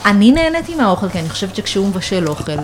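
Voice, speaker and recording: A woman's voice amid noticeable background noise. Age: 30s. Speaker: food journalist. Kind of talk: casual chat. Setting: home kitchen loft.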